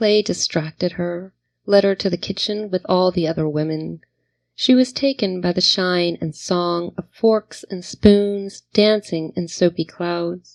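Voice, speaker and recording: A normal speaking voice: a woman with an American accent, medium pitch, ordinary pitch variation, a fairly slow pace, and a dry, close sound with no echo. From New Jersey and Virginia (American). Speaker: poet. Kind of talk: spoken word poetry reading.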